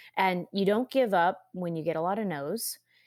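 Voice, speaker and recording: Here a woman uses an ordinary speaking voice, medium in pitch with ordinary pitch variation. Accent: American. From California. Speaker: medical device company CEO. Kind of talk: interview.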